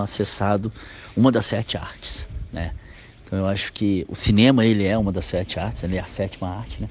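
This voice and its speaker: Intonation here stays fairly even. The delivery is fairly quick. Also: man. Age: 40s. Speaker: film director. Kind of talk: interview. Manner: halting, many filler words.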